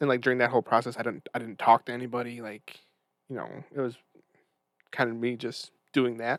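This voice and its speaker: A man mumbles at a very fast pace in a flat monotone with a medium pitch, his loudness swinging widely and long, frequent pauses breaking up his speech, all in a dry, close sound with no echo. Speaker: podcast guest. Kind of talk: casual chat. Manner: stutters; mumbling.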